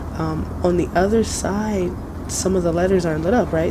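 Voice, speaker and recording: Noticeable background noise accompanies a woman speaking at a moderate pace with a fairly low pitch. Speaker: gaming video host. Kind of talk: casual game commentary.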